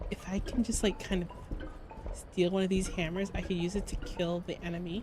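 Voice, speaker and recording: Fairly quickly and at medium pitch, a woman speaks in a monotone, flat intonation over noticeable background noise. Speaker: vtuber streamer. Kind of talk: casual live-stream gameplay commentary.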